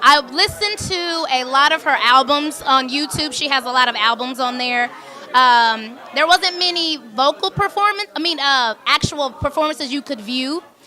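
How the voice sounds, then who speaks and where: A woman's raised, projected voice rings out at a high pitch with lively intonation and hardly any pauses, over noticeable background noise. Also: moderate pace. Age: young. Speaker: stage actress. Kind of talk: interview.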